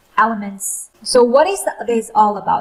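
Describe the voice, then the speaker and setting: A woman with a non-native accent speaks in a fairly high voice. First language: not English. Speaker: YouTuber, freelancer. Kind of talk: tutorial. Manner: slow; hesitant, many fillers.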